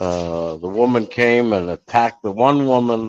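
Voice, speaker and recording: This man has an unremarkable speaking voice, a fairly low pitch and lively intonation. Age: 60s. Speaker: regular show guest. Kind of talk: casual chat.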